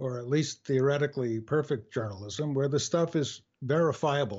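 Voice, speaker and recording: Somewhat breathy and with ordinary pitch variation, the voice carries an American accent. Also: man. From US Northeast, New York area. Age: 70s. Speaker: author and former journalist. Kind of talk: interview. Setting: home studio, phone call. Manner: halting, many fillers.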